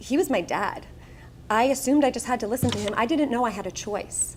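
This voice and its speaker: A woman with a Long Island accent speaks at a fairly quick pace in a high voice, her pitch varying in an ordinary way. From Long Island, New York. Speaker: speaker. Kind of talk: motivational speech.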